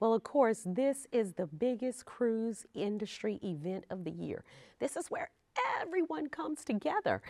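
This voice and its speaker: Speech moves at a moderate pace. Its pitch rises and falls very widely. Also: woman, fairly high pitch for a woman. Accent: Louisiana. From Louisiana. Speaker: travel show host. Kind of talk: interview. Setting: cruise industry trade event.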